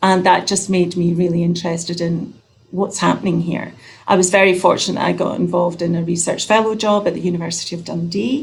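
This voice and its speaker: A woman with a Scottish accent talks at a very fast pace in a fairly low pitch, with fairly even intonation and audible room echo. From Scotland. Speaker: nurse researcher. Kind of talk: introduction on video call.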